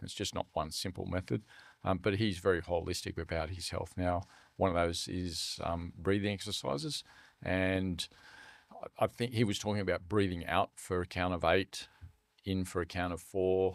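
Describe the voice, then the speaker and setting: With an Australian accent, a man speaks in a very deep, low voice and fairly even intonation on a very clean recording with a silent background. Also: moderate pace. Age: 60s. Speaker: charity CEO. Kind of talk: podcast interview.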